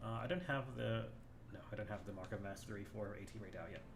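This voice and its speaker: A man's voice comes through audible room echo, with music playing in the background. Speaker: gaming streamer. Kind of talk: live gameplay commentary. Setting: live stream. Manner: quiet, low volume.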